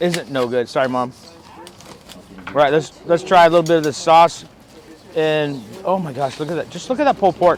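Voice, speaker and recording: A man's fairly high pitch at a fairly quick pace, with ordinary pitch variation, long, frequent pauses and noticeable background noise. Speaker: barbecue reviewer. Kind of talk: food review vlog. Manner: animated; halting.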